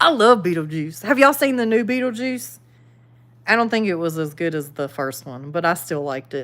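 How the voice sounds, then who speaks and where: A woman with a Southern US accent speaks at a fairly quick pace and a fairly low pitch. Her pitch swings very widely and her loudness varies greatly. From the Carolinas, US South. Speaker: YouTuber, livestream host. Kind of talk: casual livestream chat reading viewer comments. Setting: live stream. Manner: casual, conversational.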